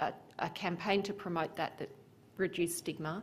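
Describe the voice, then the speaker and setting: A woman's normal speaking voice, fairly low in pitch, with fairly even intonation at a moderate pace. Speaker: presenter. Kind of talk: conference talk. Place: hall. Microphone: podium.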